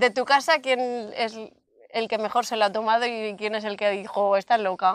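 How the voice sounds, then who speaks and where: A woman speaks at a moderate pace in a normal speaking voice, with fairly high pitch, fairly even intonation and a dry sound with no echo. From Valencia region, Spain. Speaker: local channel interviewer. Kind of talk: interview. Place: open country. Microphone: lapel.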